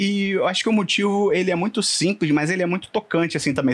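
A man talks at a very fast pace. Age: 20s. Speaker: internal communications professional and podcaster. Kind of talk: casual interview chat.

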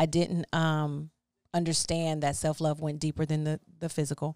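A woman's very deep, low voice comes through in a monotone, flat intonation with a dry, close sound and no echo. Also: very clean recording, silent background. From Texas, Houston area. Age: 30s. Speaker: makeup artist and singer. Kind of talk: casual chat. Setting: studio.

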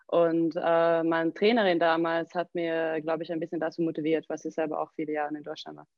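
A woman with a fairly low pitch speaks at a fairly quick pace with hardly any pauses, her intonation monotone and flat while her loudness swings widely. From southern Sweden. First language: Swedish (speaking German). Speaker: CrossFit gym owner and coach. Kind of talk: casual interview.

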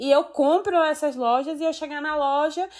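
A woman talks at a moderate speed on a very clean recording with a silent background. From Brazil, Salvador (Bahia). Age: 20s. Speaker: law graduate. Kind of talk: casual chat.

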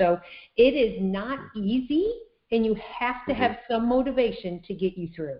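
Here is a woman with an ordinary speaking voice, talking at a moderate pace with lively intonation. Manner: upbeat, laughs often.

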